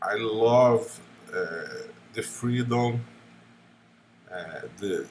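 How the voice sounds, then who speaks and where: A non-native accent shapes the speech. The speaker is a man. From Brazil. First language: Portuguese. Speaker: gaming YouTuber. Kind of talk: unscripted monologue. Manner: halting, many fillers.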